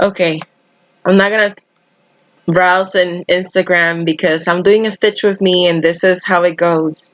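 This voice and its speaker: A woman's medium-pitched voice with a Spanish accent, flat and monotone, at a moderate pace with big swings in loudness. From Dominican Republic. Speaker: cross-stitch YouTuber. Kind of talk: live stream chat while stitching. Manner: casual, chatty.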